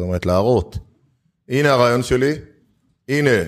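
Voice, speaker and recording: In a very clean recording against a silent background, a man talks at a medium pitch. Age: 50s. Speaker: startup investor and accelerator founder. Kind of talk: interview conversation.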